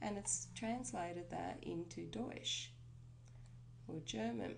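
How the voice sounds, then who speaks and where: The speaker is a woman. Audible room echo follows her voice. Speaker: web tutorial presenter. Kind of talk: screencast tutorial. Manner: casual, conversational.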